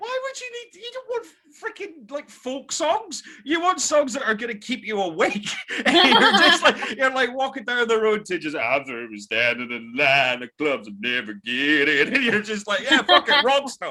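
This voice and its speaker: Over noticeable background noise, a man speaks at a moderate pace in an animated tone, with big swings in loudness. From Scotland. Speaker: podcast guest. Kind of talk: casual chat.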